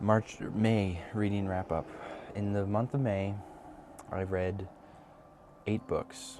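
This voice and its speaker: Soft-spoken, a man talks with a dark, mellow tone. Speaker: book vlogger. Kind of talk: casual chat. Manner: halting.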